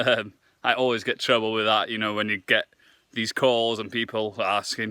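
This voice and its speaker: Recorded very cleanly over a silent background, a man with a Welsh accent has a bright, sharp tone in a dry, close sound with no echo. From Wales. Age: 20s. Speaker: fitness vlogger and nutritionist. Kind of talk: casual vlog to camera.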